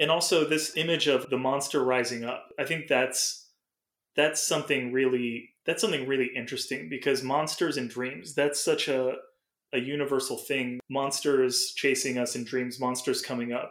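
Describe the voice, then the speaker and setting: A man with an unremarkable speaking voice talks at a moderate pace, with fairly high pitch and fairly even intonation. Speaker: podcast host and dream interpreter. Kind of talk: casual chat. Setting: remote call.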